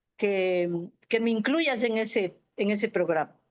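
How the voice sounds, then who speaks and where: A woman speaks at a fairly slow pace in an unremarkable speaking voice, fairly high in pitch with ordinary pitch variation, over a quiet background. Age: 60s. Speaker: retired physiotherapist. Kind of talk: casual chat.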